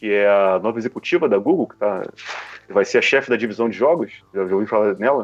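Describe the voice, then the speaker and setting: A man talks at a very fast clip with ordinary pitch variation over a quiet background. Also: medium pitch for a man, big swings in loudness. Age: 40s. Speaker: podcaster. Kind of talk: casual chat.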